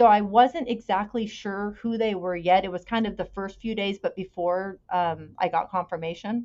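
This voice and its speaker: In a Californian accent, a woman speaks at a moderate pace with fairly even intonation. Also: medium pitch for a woman. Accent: Californian American. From California, Bay Area. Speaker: podcast guest sharing personal story. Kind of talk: personal testimony in interview.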